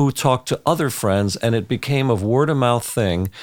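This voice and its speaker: A man at medium pitch speaks at a moderate pace in an ordinary speaking voice. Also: very clean recording, silent background. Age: 60s. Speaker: orchestra conductor. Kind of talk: casual interview chat.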